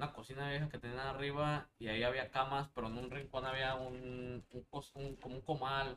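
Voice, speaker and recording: A man talks at medium pitch and a fairly slow pace in an ordinary speaking voice. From Durango, Mexico. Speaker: musician. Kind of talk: casual chat.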